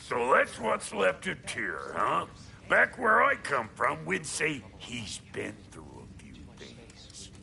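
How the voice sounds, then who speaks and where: Over clear background noise, a man talks at a very slow pace in a put-on character voice. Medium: video game. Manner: brash, folksy, sarcastic.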